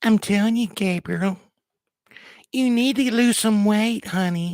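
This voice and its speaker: A female-sounding put-on character voice at medium pitch, delivered at a fairly slow pace, in a very clean recording with a silent background. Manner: comic, teasing.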